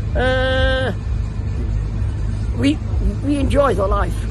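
There is noticeable noise in the background. A man's voice comes through dry, without any echo. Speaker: travelling fair showman. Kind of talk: interview answer. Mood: warm, reminiscing. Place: open country.

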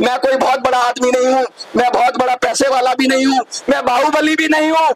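Over loud background noise, a man talks at a moderate pace with an extremely high pitch and fairly even intonation. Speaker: election candidate. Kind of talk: campaign speech. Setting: outdoors. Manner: loud, impassioned. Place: street. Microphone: handheld.

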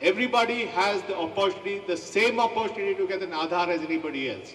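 At a very fast pace, the speech carries audible room echo over light background noise. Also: man. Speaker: guest. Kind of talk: public speech. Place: stage. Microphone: podium.

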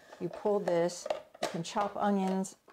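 Over light background noise, a woman speaks in a dark, mellow tone. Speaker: home cooking instructor. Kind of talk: tutorial. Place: kitchen.

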